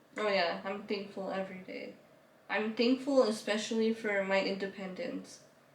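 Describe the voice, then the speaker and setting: A woman's voice at a moderate pace with fairly even intonation, set in audible room echo and noticeable background noise. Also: medium pitch for a woman. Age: 20s. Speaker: YouTuber telling her life story. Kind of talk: interview, personal story.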